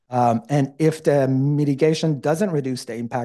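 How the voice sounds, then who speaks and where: With fairly even intonation, a man speaks in a dark, mellow tone. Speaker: transportation consultant. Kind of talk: formal presentation to a commission. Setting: public meeting hall.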